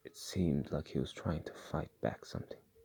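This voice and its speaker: Whispering with a non-native accent, the speaker keeps a moderate pace. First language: not English. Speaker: storyteller recounting a dream. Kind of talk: personal story narration.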